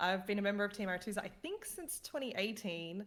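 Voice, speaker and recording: A woman with an Australian accent and a bright, sharp tone speaks at a fairly quick pace. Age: 30s. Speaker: gaming team manager. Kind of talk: casual chat.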